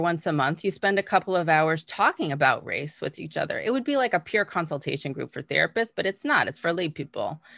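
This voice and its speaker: A woman with an unremarkable speaking voice talks at a fairly quick pace with hardly any pauses, using lively intonation at a fairly low pitch against a quiet background. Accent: American. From Massachusetts, US. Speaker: mindfulness teacher and coach. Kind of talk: interview. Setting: video call.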